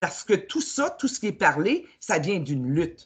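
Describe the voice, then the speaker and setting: Somewhat breathy, a woman speaks in a Quebec accent with very wide pitch swings. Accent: Québécois French. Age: 60s. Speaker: spiritual coach. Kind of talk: casual chat. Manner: halting.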